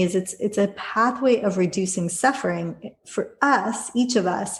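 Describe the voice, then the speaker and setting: This somewhat breathy voice has ordinary pitch variation and an American accent. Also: woman. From Los Angeles area, US. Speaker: yoga teacher and author. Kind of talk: interview conversation.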